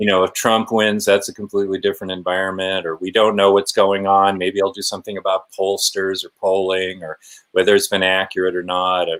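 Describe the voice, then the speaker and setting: A man talks at a fairly quick pace and a fairly low pitch. His intonation is monotone and flat. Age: 60s. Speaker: editorial cartoonist. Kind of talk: casual interview. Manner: halting, many fillers.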